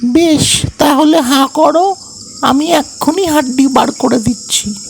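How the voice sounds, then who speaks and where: A cartoonish character voice talks high and fairly slowly. Background noise is clear. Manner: chirpy, direct.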